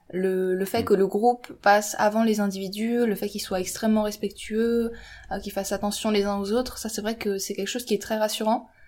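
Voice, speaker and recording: A woman speaks fairly quickly in a fairly high pitch with monotone, flat intonation. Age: 20s. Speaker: engineering student and YouTuber. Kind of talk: casual chat.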